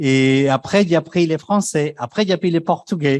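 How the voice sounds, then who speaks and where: Delivered at a fairly slow pace with ordinary pitch variation, the sound is dry and close, with no echo. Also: man. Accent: Spanish. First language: Spanish (speaking French). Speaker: deputy director of climate fund, panel lead. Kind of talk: conference panel opening.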